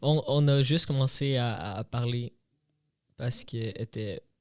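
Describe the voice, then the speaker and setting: A man with a slight Brazilian accent, very cleanly recorded against a silent background. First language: Portuguese (speaking French). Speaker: podcast co-host. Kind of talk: casual chat. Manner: halting.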